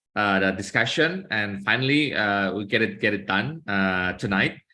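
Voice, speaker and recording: A man with an Indonesian accent speaks at a moderate pace, his fairly low voice bright and sharp in tone, on a very clean recording with a silent background. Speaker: law professor. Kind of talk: academic presentation. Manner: halting, many filler sounds.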